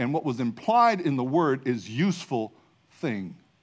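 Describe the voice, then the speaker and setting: A man's medium-pitched voice with very wide pitch swings over a quiet background. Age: 50s. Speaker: pastor. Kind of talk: sermon. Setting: church.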